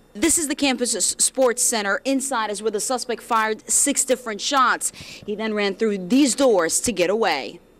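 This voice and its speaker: With an American accent, an unremarkable speaking voice goes along at a moderate pace. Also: woman, fairly high pitch for a woman, ordinary pitch variation. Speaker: news anchor and reporter. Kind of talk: field reporter live stand-up.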